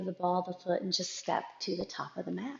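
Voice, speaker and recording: Soft-spoken delivery in a calm, gentle tone. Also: woman. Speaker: yoga instructor. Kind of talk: guided yoga class.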